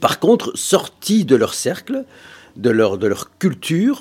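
His pitch rises and falls across a very wide range. The man's delivery is fairly slow. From Brussels, Moroccan family. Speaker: interviewee. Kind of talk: interview testimony. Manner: halting, repetitive.

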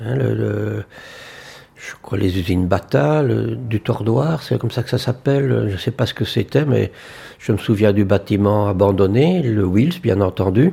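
On a very clean recording with a silent background, a man with a fairly low pitch and vocal fry speaks at a fairly slow pace with lively intonation. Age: 70s. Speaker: elderly local resident. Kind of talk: testimony.

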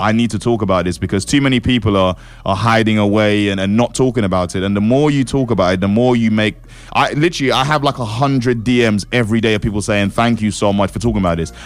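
Talking at a very fast pace, a man with a fairly low voice keeps his loudness very even and his pitch variation ordinary. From east London / Essex border (Dagenham). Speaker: grime MC. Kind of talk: interview.

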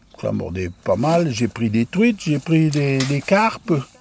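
A man is speaking. His pitch swings very widely. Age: 70s. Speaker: retired laborer. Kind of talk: casual chat.

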